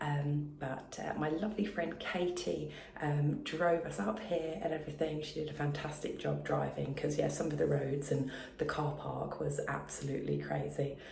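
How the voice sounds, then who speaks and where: Speaking quietly at a moderate pace with an English accent, a woman is heard with audible room echo and noticeable background noise. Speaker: sewing vlogger. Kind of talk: casual vlog talk. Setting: hotel room. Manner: hesitant, many fillers. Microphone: echoey room.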